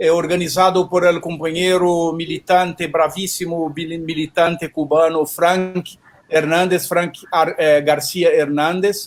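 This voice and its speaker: A man's high-pitched, monotone, flat delivery at a very slow pace, in a Portuguese accent. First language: Portuguese (speaking Spanish). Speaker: event coordinator. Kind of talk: panel talk. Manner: halting.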